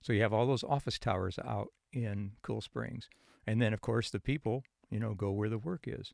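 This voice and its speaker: Man with a fairly low pitch, vocal fry and ordinary pitch variation, in a dry, close sound with no echo, on a very clean recording with a silent background. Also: moderate pace, big swings in loudness. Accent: Chicago. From Chicago area and northern Indiana. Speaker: retired psychology professor. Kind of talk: interview conversation.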